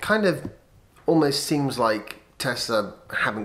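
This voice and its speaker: Speaking with a British accent, a man uses a fairly high pitch and lively intonation. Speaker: vlogger. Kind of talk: casual vlog monologue.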